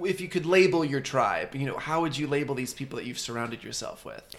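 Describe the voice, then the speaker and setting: Over noticeable background noise, a man talks fairly quickly at a fairly high pitch with ordinary pitch variation. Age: 20s. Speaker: podcast co-host. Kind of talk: casual interview chat. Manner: animated.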